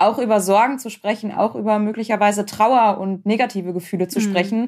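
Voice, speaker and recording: On a very clean recording with a silent background, a woman with a fairly high pitch and a dark, mellow tone talks at a fairly quick pace with fairly even intonation. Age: 30s. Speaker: founder of a support association, relative of a cancer patient. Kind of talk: interview about personal experience.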